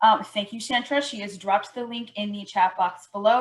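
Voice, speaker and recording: At a fairly quick pace, a woman with a medium pitch sounds somewhat breathy, her intonation fairly even. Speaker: outreach coordinator presenting a purchasing program. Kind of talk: webinar presentation.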